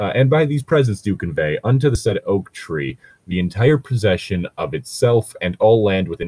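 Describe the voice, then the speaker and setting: A man talks in a fairly low pitch with very wide pitch swings and a somewhat breathy quality. The sound is dry and close, with no echo. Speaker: podcast co-host reading fan fiction. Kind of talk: reading aloud with comic commentary. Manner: sarcastic.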